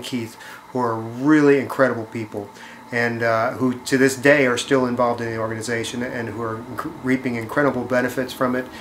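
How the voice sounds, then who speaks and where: Over noticeable background noise, the speech runs at a fairly quick pace with monotone, flat intonation. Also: man. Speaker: charity fundraiser. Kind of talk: appeal to viewers. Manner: fast; hesitant, many fillers.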